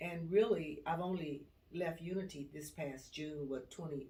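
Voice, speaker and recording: A woman's dark, mellow voice, touched with vocal fry, unfolds at a fairly slow pace with audible room echo. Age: 70s. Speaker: retired HR worker. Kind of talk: life story interview.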